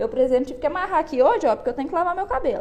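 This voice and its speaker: The speaker is a woman. Her pitch moves through very wide swings. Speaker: psychologist. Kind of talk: live stream talk on anxiety. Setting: online live stream. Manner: conversational, addresses audience.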